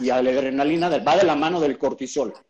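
A man's fairly high-pitched voice, a plain, everyday voice, at a moderate pace with ordinary pitch variation. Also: quiet background. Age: 40s. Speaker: keto diet expert. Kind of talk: interview on a live stream.

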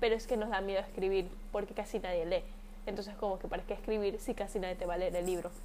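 This woman talks at a very fast pace with fairly even intonation. Her tone is serious, dark and mellow. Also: medium pitch for a woman. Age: 20s. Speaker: podcast host. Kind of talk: personal monologue. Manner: informal.

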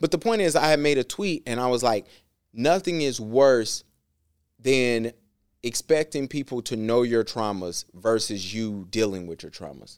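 A man with an American accent uses a normal speaking voice at a medium pitch, a moderate pace, lively intonation and big swings in loudness. The recording is very clean with a silent background, dry and close with no echo. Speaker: podcast host. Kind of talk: casual banter podcast. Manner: jokey, conversational.

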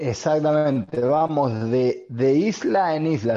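Against a quiet background, a man with an Argentine accent talks in a dark, mellow tone with lively intonation. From Argentina. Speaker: podcast co-host. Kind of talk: casual chat. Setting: video call.

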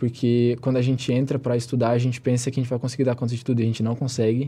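The voice has a dark, mellow tone and is somewhat breathy. It moves at a very fast pace over a quiet background. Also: man. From southern Santa Catarina, Brazil. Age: 20s. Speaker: pre-university student. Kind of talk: interview. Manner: casual, filler-heavy.

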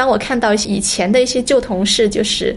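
A woman has an unremarkable speaking voice, fairly high in pitch. Her pitch variation is ordinary. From Guangzhou, China. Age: 30s. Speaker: entrepreneur. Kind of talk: personal testimony.

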